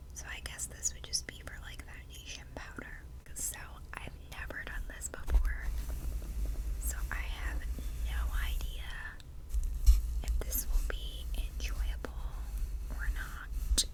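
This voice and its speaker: A soft-spoken woman whispers at a very slow pace with long, frequent pauses and big swings in loudness, over noticeable background noise. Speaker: ASMR creator. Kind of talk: casual talk to camera, ASMR makeup brush review. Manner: soft-spoken, whispered.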